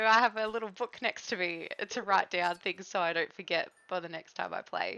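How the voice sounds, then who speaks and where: At a moderate pace, a woman speaks with ordinary pitch variation. Her pitch is fairly low. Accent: Australian. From Australia. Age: 30s. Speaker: game streamer. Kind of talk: casual chat. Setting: live stream.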